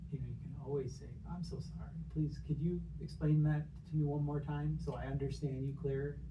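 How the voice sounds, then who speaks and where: Soft-spoken and at a fairly quick pace, a man talks over noticeable background noise with audible room echo. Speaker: clinical pastoral education supervisor. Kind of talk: supervision session.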